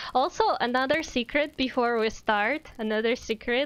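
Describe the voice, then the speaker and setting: A woman speaks with a Russian accent in a high voice. Her pitch rises and falls in an ordinary way. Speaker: VTuber streamer and artist. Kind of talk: casual live stream chat. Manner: casual, halting with fillers.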